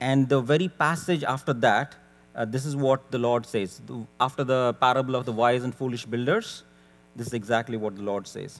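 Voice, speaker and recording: At a moderate pace, a man talks in a medium pitch. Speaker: preacher. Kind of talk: sermon. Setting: church. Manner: soft-spoken.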